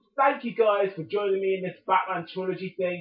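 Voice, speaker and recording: This man's voice sits high in pitch as he moves along at a fairly quick pace. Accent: British. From Britain. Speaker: gaming YouTuber. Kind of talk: let's play commentary. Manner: animated.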